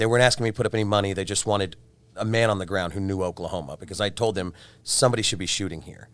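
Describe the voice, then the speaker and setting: Speech moves at a very fast pace in a very clean recording with a silent background. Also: man, fairly low pitch for a man. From Texas, Houston. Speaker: film producer. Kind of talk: panel interview. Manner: loud; animated.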